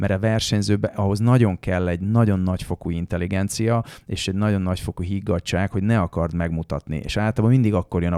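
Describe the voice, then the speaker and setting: A man with a very deep, low pitch and a dark, mellow tone talks very fast with ordinary pitch variation, in a very clean, dry, close recording with no echo and a silent background. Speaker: rally driver. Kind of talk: casual chat. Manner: halting.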